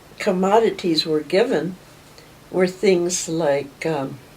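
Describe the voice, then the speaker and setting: Talking at a very slow pace, a woman with a fairly low pitch and an American accent comes through over noticeable background noise. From western Maryland (Friendsville, Garrett County). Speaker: local history interviewee. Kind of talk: oral history reminiscence. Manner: unhurried, many filler pauses.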